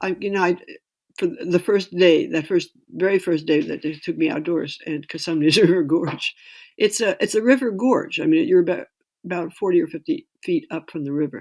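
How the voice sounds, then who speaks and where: Recorded very cleanly with a silent background, a woman with a plain, everyday voice and fairly low pitch speaks at a moderate pace with ordinary pitch variation. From US Northeast, New York City. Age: 60s. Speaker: writer and climber. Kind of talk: interview.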